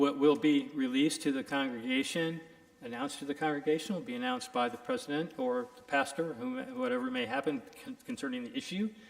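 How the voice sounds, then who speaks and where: A man talks loudly and very fast in a fairly high pitch, with very wide pitch swings. Noticeable background noise is present. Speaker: lawyer, keynote speaker. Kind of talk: lecture.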